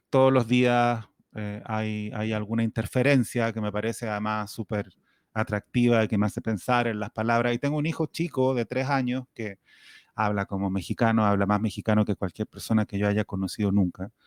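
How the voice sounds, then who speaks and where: A man's fairly low voice in a strong Chilean accent, at a moderate pace with fairly even intonation, dry and close with no echo, on a very clean recording with a silent background. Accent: Chilean, still strong. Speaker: writer. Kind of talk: interview.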